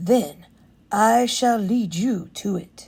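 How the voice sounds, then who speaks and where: A woman's put-on character voice at medium pitch. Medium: read story. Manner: smooth, sly, flattering.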